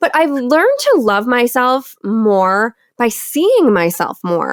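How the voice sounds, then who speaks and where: In a Michigan accent, a woman speaks at a very slow pace. Her voice is high, with very wide pitch swings. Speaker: podcast host. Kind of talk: casual interview chat.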